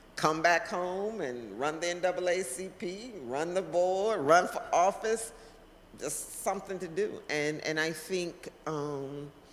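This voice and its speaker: Speaking at a very slow pace, a woman with a fairly low pitch uses ordinary pitch variation in a room with audible echo. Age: 60s. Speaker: community leader and political candidate. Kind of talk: interview. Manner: halting.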